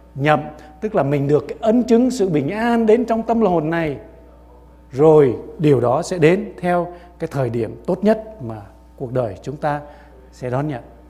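A man at a fairly slow pace and fairly high pitch, with very wide pitch swings, long, frequent pauses and music in the background. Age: 60s. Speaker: pastor. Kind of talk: sermon. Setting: church.

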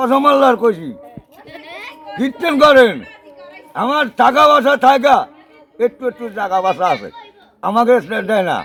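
With crowd noise in the background, a man speaks at an extremely high pitch with lively intonation. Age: 60s. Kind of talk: plea for help. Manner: halting.

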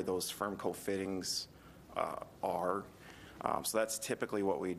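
A man with a fairly low voice speaks over light background noise. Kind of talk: meeting answer. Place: hall. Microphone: podium.

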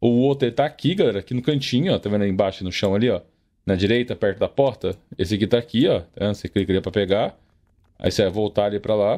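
A man talks at a very fast pace. His pitch is fairly low and his tone is dark and mellow. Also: ordinary pitch variation. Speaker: gaming youtuber. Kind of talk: gameplay tutorial. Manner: casual, animated.

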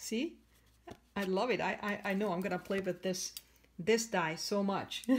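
At a moderate pace with ordinary pitch variation, the speaker leaves long, frequent pauses over light background noise. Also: woman. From Canada. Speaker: craft demonstrator. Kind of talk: tutorial. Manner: hesitant, many fillers. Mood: warm, enthusiastic.

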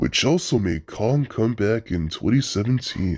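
Putting on a character voice, a man speaks at a moderate pace and medium pitch on a very clean recording with a silent background. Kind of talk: fan comic dub. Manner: confident, playful.

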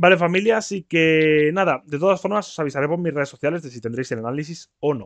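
A man talks at a very fast pace with hardly any pauses, in an animated tone with big swings in loudness. The background is quiet and the sound is dry with no echo. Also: fairly high pitch for a man, ordinary pitch variation. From Spain. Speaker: YouTuber. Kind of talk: video reaction commentary. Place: home room. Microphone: laptop recording; headset.

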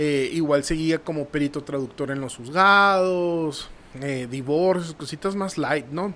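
In a northern Mexican accent, a man speaks fairly slowly at a fairly high pitch, his tone bright and sharp with ordinary pitch variation. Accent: northern Mexican Spanish (Sonora). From Nogales, Sonora, Mexico; Sonora, Mexico. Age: 30s. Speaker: marketing professional; podcast guest. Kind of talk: casual interview. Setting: studio. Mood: calm, reflective storytelling. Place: studio. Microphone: studio mic.

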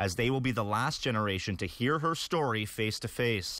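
A man with an ordinary speaking voice talks at a fairly quick pace. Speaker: news reporter. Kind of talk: local TV news report.

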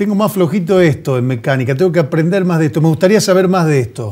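A fairly high-pitched male voice, dark and mellow in tone, with lively intonation. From Argentina. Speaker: TV host. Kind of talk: TV interview. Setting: TV studio. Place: studio.

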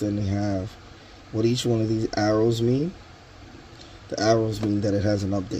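Over light background noise, a man talks with a fairly low pitch. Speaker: tool reviewer. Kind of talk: tutorial. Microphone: phone near.

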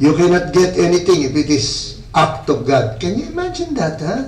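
A man speaks with audible room echo around him. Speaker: priest leading a retreat. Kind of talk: retreat teaching talk. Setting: church hall retreat with audience. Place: church. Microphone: camera far.

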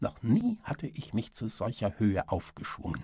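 A man speaks at a very slow pace in a medium pitch, with very wide pitch swings and an intense, theatrical tone. His voice is dark, mellow and somewhat breathy, on a very clean recording with a silent background. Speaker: audiobook narrator. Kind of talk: dramatic audiobook-style narration with character dialogue. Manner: intense, gripping, theatrical, measured pace with suspenseful emphasis; formal, literary German delivery.

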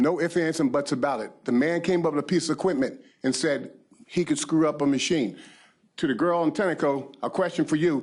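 This man has an American accent and a fairly high pitch. He talks at a moderate pace. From US Northeast, Pennsylvania. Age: 60s. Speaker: county council member. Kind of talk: heated debate. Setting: council meeting room. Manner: animated.

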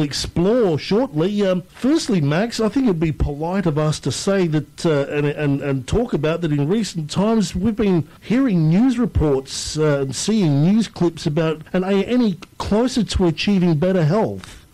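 The loudness stays very even, with ordinary pitch variation and hardly any pauses. The accent is Australian. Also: man. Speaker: radio host. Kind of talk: radio interview.

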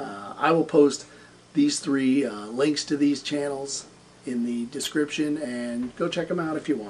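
A man of medium pitch at a fairly slow pace, with ordinary pitch variation and light background noise. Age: 40s. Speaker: gaming YouTuber. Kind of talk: solo vlog monologue. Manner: hesitant, many filler words. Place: home room. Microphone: camera far.

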